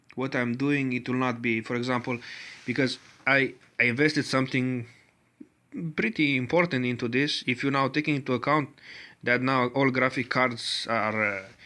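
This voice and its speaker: The tone is bright and sharp, with a Romanian accent. Intonation stays fairly even at a moderate pace. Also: man. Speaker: tech hobbyist video creator. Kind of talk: tutorial. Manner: halting, many filler sounds.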